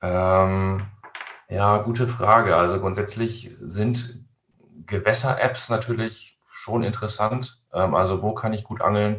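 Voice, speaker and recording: Fairly even intonation at a very slow pace. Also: man, fairly low pitch for a man. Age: 30s. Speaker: fishing website editor. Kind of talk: casual interview. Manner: hesitant, many fillers.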